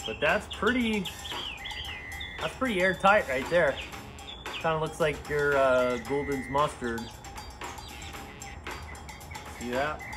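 Over noticeable background noise, a man speaks very slowly. His pauses are long and frequent. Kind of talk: tutorial. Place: garage. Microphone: phone near.

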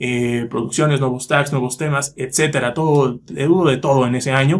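The background is quiet. The pace is moderate. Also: man. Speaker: YouTuber, metal music reviewer. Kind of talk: casual vlog monologue. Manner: fluent, confident. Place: home room. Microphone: phone near.

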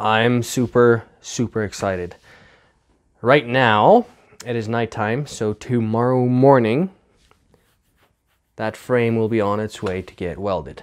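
The background stays quiet. A man talks at a fairly slow pace, with ordinary pitch variation. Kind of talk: casual vlog chat. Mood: excited, enthusiastic. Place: workshop. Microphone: lapel.

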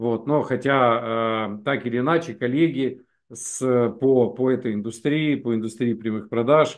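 A man's pitch varies in an ordinary way as he talks, the background quiet. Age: 50s. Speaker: network marketing presenter; presenter. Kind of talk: webinar sales presentation. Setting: live stream. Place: home room. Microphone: video call.

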